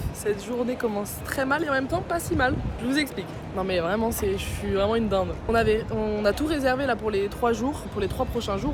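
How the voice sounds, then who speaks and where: Over noticeable background noise and audible room echo, a woman with a fairly high pitch and ordinary pitch variation talks at a very fast pace in an animated tone. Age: 20s. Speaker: travel vlogger. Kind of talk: casual vlog storytelling. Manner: animated, fast.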